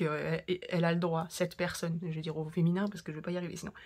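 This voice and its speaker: A woman speaks very fast in a fairly low, somewhat breathy voice on a very clean recording with a silent background. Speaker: crafting youtuber. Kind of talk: casual chat. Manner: animated; halting.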